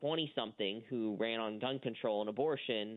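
In a normal speaking voice, a man of medium pitch talks with fairly even intonation. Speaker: media watchdog editor, guest. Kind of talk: radio interview, conversational political commentary.

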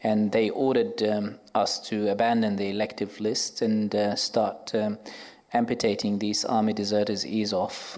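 A man with an Arabic accent speaks at a moderate pace in a monotone, flat intonation with very even loudness. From Iraq, Baghdad. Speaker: orthopaedic surgeon. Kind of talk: live panel discussion. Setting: stage with audience.

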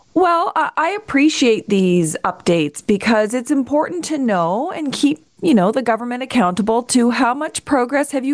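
Her pitch is fairly high. This woman's voice swings very widely in pitch. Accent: Canadian. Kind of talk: radio interview.

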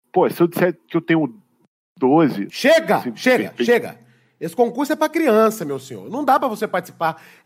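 This man's voice sits high, with very wide pitch swings and a fairly quick pace. The recording is very clean, with a silent background. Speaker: comedy podcast host. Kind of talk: comedic sketch chat.

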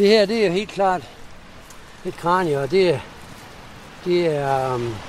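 A man with a high voice speaks very slowly with lively intonation over noticeable background noise. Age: 70s. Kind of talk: guided walk interview. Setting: outdoors.

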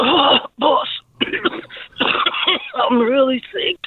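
The speaker puts on a high-pitched character voice. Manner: feigned illness, weak.

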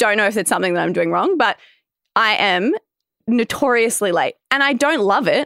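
With an Australian accent, a woman speaks fairly high and at a moderate pace, her tone bright and sharp, her intonation lively, her loudness very even, with vocal fry and a dry, close sound with no echo. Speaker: podcast co-host. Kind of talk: casual chat. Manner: laughs often.

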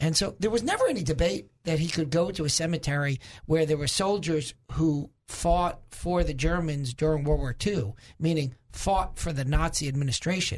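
With a New York accent, a man speaks in an animated tone at a moderate pace, his fairly high pitch showing ordinary variation. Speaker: political commentator. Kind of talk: talk radio discussion. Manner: animated, emphatic.

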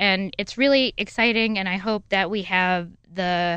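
Against a quiet background, a woman talks at a fairly slow pace with ordinary pitch variation in an ordinary speaking voice. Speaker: nonprofit founder, board member. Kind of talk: casual interview.

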